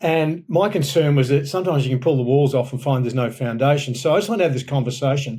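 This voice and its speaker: The delivery is very fast with an Australian accent and ordinary pitch variation. The tone is dark, mellow and somewhat breathy. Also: man. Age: 60s. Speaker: pastor and author. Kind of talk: podcast interview. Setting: podcast recording.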